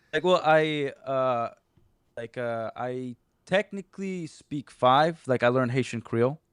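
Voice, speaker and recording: In a Portuguese accent, a man speaks at medium pitch with ordinary pitch variation. The background is quiet and the sound dry and close, with no echo. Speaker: former toy franchise store owner. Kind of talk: casual interview chat. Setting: live video call stream. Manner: fast, filler-heavy; aggressive-sounding.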